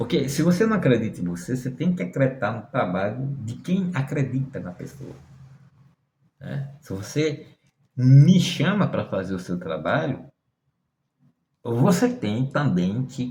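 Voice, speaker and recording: A man speaks fairly slowly with a dark, mellow tone and vocal fry, leaving long, frequent pauses. His pitch sits in the medium range yet swings very widely. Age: 60s. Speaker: tarot reader and occultist. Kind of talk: monologue to camera.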